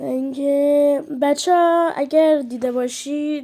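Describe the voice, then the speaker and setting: A woman is talking. Her intonation is fairly even. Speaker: mobile game streamer. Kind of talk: casual gameplay commentary.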